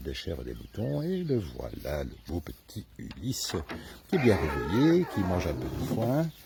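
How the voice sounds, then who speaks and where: Against noticeable background noise, a man speaks at a fairly slow pace with very wide pitch swings. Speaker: animal sanctuary caretaker. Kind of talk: casual farm tour to camera.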